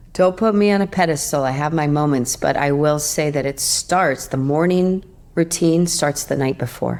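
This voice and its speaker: The speaker has a calm, relaxed tone with ordinary pitch variation. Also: woman, very deep, low pitch for a woman, moderate pace. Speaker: yoga teacher. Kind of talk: casual interview chat.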